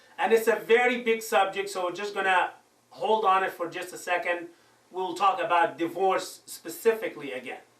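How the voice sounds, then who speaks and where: Moderate pace with noticeable background noise. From Egypt. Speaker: immigration advice speaker. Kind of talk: informal talk. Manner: casual.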